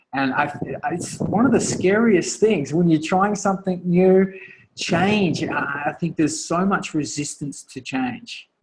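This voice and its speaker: Speaking at a fairly slow pace, this man has a high pitch and an Australian accent. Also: ordinary pitch variation. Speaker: author and coach. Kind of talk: guest talk on a group call. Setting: conference call. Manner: halting, many fillers and restarts.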